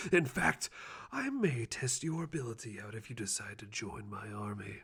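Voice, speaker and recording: Using a put-on character voice, a man speaks at a moderate pace. His pitch sits in the medium range. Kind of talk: ASMR roleplay, personal attention. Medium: solo performance. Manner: theatrical, self-aggrandizing.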